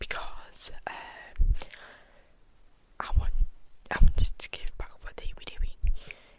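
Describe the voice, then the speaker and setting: Whispering from a woman amid noticeable background noise. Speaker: ASMR artist. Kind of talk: ASMR whisper ramble. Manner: whispered.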